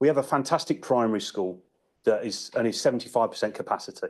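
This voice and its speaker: The background stays quiet. A man speaks very fast. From southern England, Pangbourne, Berkshire. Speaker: local councillor. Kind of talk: council debate speech. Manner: halting, repeats words.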